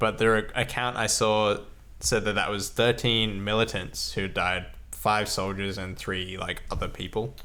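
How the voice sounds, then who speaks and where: In a room with audible echo, a man talks at a fairly slow pace with a bright, sharp tone, a fairly low pitch and fairly even intonation. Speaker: podcast co-host. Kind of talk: casual discussion. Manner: loud; hesitant, many fillers.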